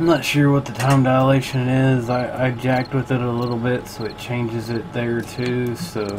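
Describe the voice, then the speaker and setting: In a room with audible echo and noticeable background noise, a man speaks at a moderate pace and medium pitch with fairly even intonation. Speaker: gaming streamer. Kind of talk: gameplay commentary. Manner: casual; loud.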